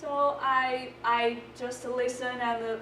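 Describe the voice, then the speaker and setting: A woman speaks with a non-native accent and fairly even intonation. The recording has audible room echo and noticeable background noise. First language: not English. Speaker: volunteer peer tutor. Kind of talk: presentation. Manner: halting.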